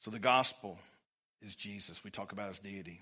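Against a quiet background, a man with an East Texas accent speaks at a moderate pace in a bright, sharp tone with a fairly low pitch. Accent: East Texas Southern US. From Texas, Livingston. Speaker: pastor. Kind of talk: sermon. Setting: church.

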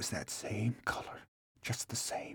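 Someone whispers in a dry, close recording with no echo. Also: man. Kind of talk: dramatized character voice within narration. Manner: halting, broken, dazed, rural dialect.

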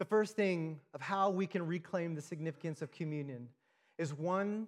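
On a very clean recording with a silent background, a man speaks at a fairly slow pace in a high voice with ordinary pitch variation. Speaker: church planter and preacher. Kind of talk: sermon. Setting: church with audience.

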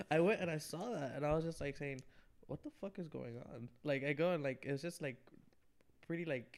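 A man's fairly high-pitched voice with ordinary pitch variation at a fairly quick pace. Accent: American. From New York, Queens. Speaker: podcast guest. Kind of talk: casual chat. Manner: halting.

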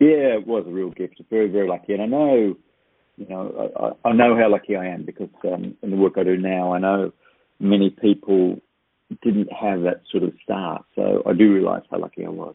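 This man has an Australian accent, a fairly low pitch, ordinary pitch variation and a moderate pace. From Australia, New South Wales north coast. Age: 60s. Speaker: author and speaker. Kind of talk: interview.

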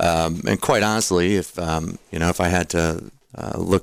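With an American accent, a man speaks at a very deep, low pitch in a very clean recording with a silent background. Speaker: tax professional and military veteran. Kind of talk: casual radio interview. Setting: radio studio.

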